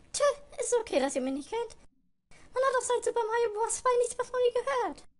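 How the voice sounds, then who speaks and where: A put-on character voice squeaks in an extremely high pitch. It moves at a fairly quick pace. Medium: fan dub. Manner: wry, world-weary.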